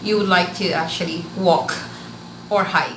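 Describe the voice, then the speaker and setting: Speaking with a Filipino accent, a woman uses a medium pitch. Room echo is audible, along with noticeable background noise. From Philippines, Bicol region. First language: Bikol. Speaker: vlogger. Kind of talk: casual vlog talk. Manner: hesitant with filler words.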